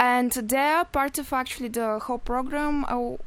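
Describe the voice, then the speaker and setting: A woman with a Bulgarian accent talks at a fairly slow pace in a high voice. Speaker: EU volunteer at community radio. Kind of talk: radio interview. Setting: radio studio.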